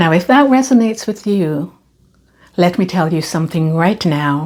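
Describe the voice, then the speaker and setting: Her pitch sits fairly low for a woman. Her intonation is lively. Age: 60s. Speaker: lifestyle vlogger. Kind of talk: monologue to camera. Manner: animated.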